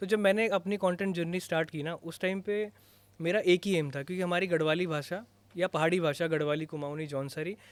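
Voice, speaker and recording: A man's high-pitched voice at a moderate pace. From Uttarakhand, Garhwal. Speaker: content creator. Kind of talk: podcast interview. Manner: casual, Hindi-English code-switching.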